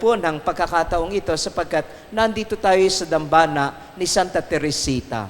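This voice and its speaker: At a moderate pace, a man talks with a fairly high pitch over noticeable background noise. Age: 60s. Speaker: priest. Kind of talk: recollection talk. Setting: shrine with audience.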